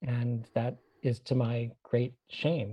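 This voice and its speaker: A man speaks at a medium pitch with an American accent, his tone dark and mellow. His voice is somewhat breathy and his intonation flat and monotone. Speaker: anthropology professor. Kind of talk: interview.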